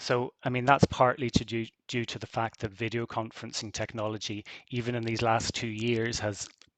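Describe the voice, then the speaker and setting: In a dry, close recording with no echo, a man with a Belfast accent speaks at a moderate pace in a medium pitch with flat, monotone intonation. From Northern Ireland, Belfast. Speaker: university researcher. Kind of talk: conference closing talk. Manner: hesitant, many fillers.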